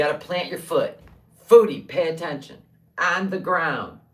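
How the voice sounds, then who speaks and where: A woman's fairly low-pitched voice, animated in tone, at a fairly slow pace with ordinary pitch variation and audible room echo. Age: 60s. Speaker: livestreamer selling handmade tumblers. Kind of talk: casual livestream chat.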